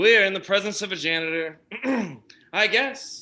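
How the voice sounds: Lively intonation marks a natural reading voice.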